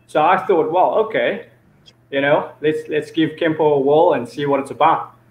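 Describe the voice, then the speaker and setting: Audible room echo surrounds a man speaking at a moderate pace. His voice sits fairly high, and his intonation is fairly even. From South Africa, Cape Town. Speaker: martial arts instructor. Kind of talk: interview. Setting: video call. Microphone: video call.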